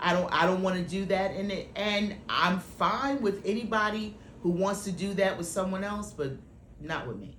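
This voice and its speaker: A woman at a medium pitch and moderate pace, ordinary pitch variation, with audible room echo and noticeable background noise. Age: 50s. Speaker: actress and writer. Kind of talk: interview. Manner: halting.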